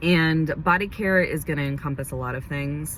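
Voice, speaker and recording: Audible room echo surrounds the voice of a woman talking. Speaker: beauty vlogger and esthetician. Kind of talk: casual vlog monologue. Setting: in a car.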